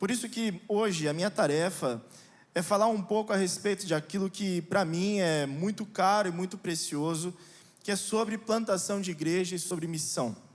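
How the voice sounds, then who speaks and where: In a São Paulo accent, a man speaks at a high pitch with ordinary pitch variation. His pace is moderate. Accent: São Paulo Brazilian Portuguese. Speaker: pastor. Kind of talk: sermon. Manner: hesitant fillers.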